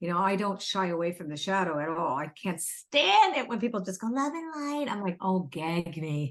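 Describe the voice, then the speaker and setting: Over a quiet background, a woman speaks at a medium pitch and a moderate pace, with very wide pitch swings and hardly any pauses. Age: 60s. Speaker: spiritual author and oracle card deck creator. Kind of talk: casual interview conversation. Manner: animated.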